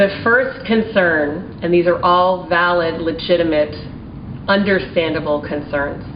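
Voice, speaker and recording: A woman with an American accent speaks fairly slowly, in a fairly low voice with ordinary pitch variation. Room echo is audible, and background noise is noticeable. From Maryland, with childhood in Taiwan and China. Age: 40s. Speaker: small business owner. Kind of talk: testimony. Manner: formal.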